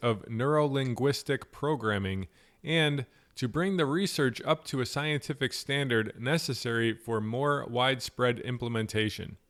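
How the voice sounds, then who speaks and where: A man with an American accent speaks at a medium pitch with ordinary pitch variation and an unremarkable speaking voice. The recording is very clean with a silent background. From Buffalo, New York. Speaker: podcast host. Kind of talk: interview; scripted introduction.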